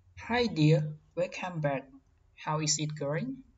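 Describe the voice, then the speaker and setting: A woman speaks at a very slow pace with a very deep, low pitch. Her somewhat breathy voice has lively intonation. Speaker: tutorial presenter. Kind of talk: tutorial. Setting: screen recording voiceover. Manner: halting, simple phrasing.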